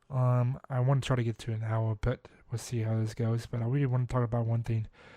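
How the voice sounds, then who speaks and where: In an American accent, a man speaks with a medium-pitched, somewhat breathy voice and monotone, flat intonation. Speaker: podcast host. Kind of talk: solo podcast monologue. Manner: halting, many fillers and self-corrections; casual.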